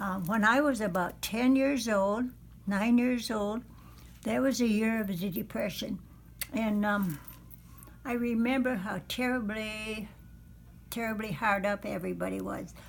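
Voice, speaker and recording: In a fairly high, somewhat breathy voice, a woman speaks at a fairly slow pace with long, frequent pauses and ordinary pitch variation, in audible room echo. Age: 90s. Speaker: elderly woman telling her life story. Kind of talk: oral history interview. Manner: hesitant, many fillers.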